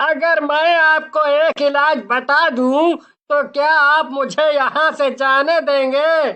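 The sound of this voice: A cartoonish character voice with a high pitch, at a very slow pace with hardly any pauses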